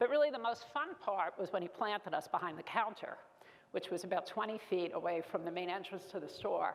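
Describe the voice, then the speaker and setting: With a Brooklyn accent, a woman talks at a fairly quick pace using lively intonation. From New York, Brooklyn. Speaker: keynote speaker, business executive. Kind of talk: keynote speech. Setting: stage with audience.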